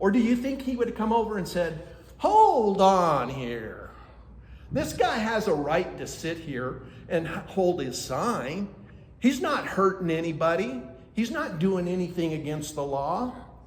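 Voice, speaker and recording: Loud and high-pitched, a man speaks at a fairly slow pace with very wide pitch swings, audible room echo and noticeable background noise. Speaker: citizen activist. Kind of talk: public comment at county meeting. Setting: county commission meeting.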